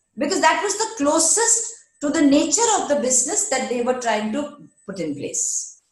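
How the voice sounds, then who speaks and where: Over audible room echo, a woman speaks at a moderate pace in a high pitch that swings very widely. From India, West Bengal (Durgapur). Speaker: HR executive. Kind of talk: interview.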